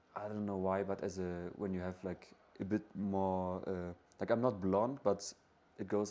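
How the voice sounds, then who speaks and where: A man speaks at a moderate pace in a dark, mellow tone with fairly even intonation. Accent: German. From northern Germany, near Hamburg. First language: German. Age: 20s. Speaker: backpacker. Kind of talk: interview. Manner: halting, many fillers and repeats.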